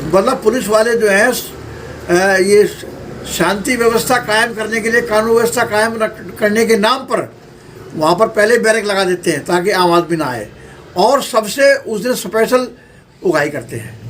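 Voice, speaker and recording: Ordinary pitch variation in a man's high voice, with noticeable background noise. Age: 70s. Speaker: social worker and local politician. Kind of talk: interview. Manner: forceful.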